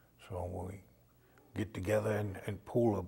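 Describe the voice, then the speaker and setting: Somewhat breathy, a man speaks at a fairly low pitch with fairly even intonation. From Maine, US (Indian Township, Passamaquoddy community). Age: 70s. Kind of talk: oral history interview. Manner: hesitant, many fillers.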